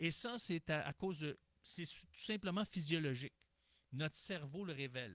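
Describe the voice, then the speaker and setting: Lively intonation marks this man's fairly high-pitched voice. He speaks at a moderate pace, with a dry, close sound and no echo. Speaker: relationship coach. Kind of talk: online talk on gender leadership. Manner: animated.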